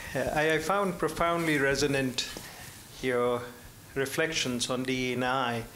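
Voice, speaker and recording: With long, frequent pauses and a very slow pace, a man with an American accent speaks at a fairly high pitch, his loudness very even and his pitch variation ordinary, over light background noise. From Indian American. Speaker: audience member. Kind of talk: audience question. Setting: luncheon event with audience. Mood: earnest, probing. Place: hall.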